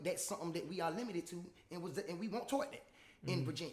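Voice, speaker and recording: A man with a high pitch speaks very fast. Noticeable background noise runs behind him. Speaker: rapper. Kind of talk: casual chat. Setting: podcast studio.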